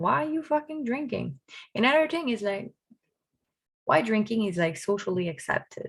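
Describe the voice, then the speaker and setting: In a Quebec accent, a woman talks at a moderate pace with long, frequent pauses, her fairly high, somewhat breathy voice animated and swinging very widely in pitch. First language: French. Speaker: vlogger. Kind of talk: personal vlog monologue. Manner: casual, animated.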